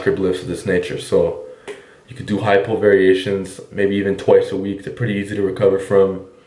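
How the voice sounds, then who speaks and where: Audible room echo surrounds the speech. A man talks at a moderate pace. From Quebec. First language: French. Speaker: fitness coach. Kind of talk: Q&A monologue.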